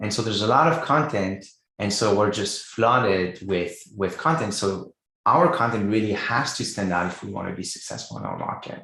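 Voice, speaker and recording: Bright, sharp tone from a man with a Quebec accent, fairly low in pitch, with lively intonation at a moderate pace. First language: French. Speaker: writing coach. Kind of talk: interview.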